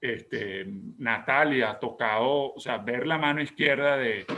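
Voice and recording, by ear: A man talks at a medium pitch with ordinary pitch variation. His tone is bright and sharp.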